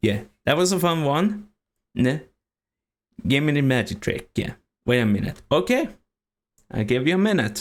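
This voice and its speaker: With a Swedish accent, a man with a fairly high pitch uses very wide pitch swings, very even loudness, and long, frequent pauses. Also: moderate pace. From Sweden. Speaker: streamer. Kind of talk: casual chat. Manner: halting.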